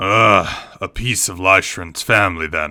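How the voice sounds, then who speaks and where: A man puts on a character voice that is raspy and very deep in pitch. He delivers it at a fairly slow pace. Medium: read story. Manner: curt, brusque.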